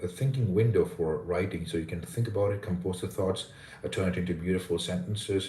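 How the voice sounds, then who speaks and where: Speaking at a very fast pace, a man with a very deep, low voice sounds dark, mellow and somewhat breathy, with ordinary pitch variation and audible room echo. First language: Indian language. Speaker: English pronunciation coach. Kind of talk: live stream chat.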